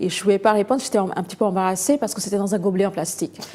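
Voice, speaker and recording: In a Bengali accent, a woman speaks with a dark, mellow tone. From India, Calcutta. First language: Bengali (speaking French). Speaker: novelist. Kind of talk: interview. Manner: hesitant, many fillers.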